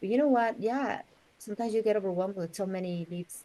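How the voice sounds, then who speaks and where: With a strong Mexican accent, a woman speaks at a fairly quick pace. Her tone is dark and mellow, with ordinary pitch variation. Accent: Mexican Spanish accent, thick. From Mexico City, Mexico. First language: Spanish. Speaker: real estate agent. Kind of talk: interview.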